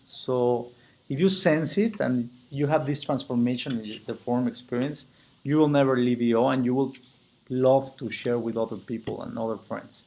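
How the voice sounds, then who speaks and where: At a moderate pace, a man with a Spanish accent talks in a medium pitch with ordinary pitch variation. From Mexico. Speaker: business owner and chapter president. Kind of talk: membership application video. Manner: halting, with frequent repetitions.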